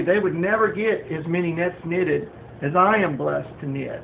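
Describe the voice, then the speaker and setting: The speaker goes at a moderate pace. Noticeable background noise can be heard. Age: 60s. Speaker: home craftsman and former welder. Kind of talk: home video tutorial introduction. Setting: home kitchen, filmed on phone. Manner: hesitant, many fillers. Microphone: phone recording, not high quality.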